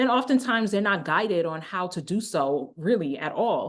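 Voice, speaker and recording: Against a quiet background, a woman with an American accent speaks in an animated tone with lively intonation. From United States. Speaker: education researcher, doctor of education. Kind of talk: vlog monologue. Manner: animated, emphatic; halting, with fillers and restarts.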